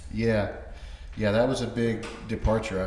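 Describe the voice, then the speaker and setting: Heard with audible room echo, a man speaks at a fairly low pitch. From Florida, Orlando (born North Carolina). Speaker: author and construction project manager. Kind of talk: interview.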